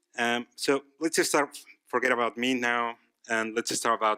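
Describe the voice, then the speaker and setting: At a moderate pace and a medium pitch, a man speaks with a bright, sharp tone and fairly even intonation, the sound dry and close with no echo. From Mexico. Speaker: art director. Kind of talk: conference talk.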